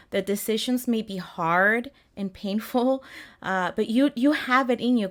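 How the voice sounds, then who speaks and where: Speaking in a Spanish accent at a moderate pace, a woman keeps her intonation fairly even. The recording is very clean, with a silent background. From Mexico City, Mexico. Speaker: health coach. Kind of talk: interview. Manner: halting.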